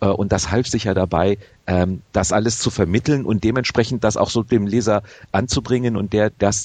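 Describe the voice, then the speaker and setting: A man with an unremarkable speaking voice talks fairly quickly at a fairly low pitch. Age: 40s. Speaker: video game magazine editor. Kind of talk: interview.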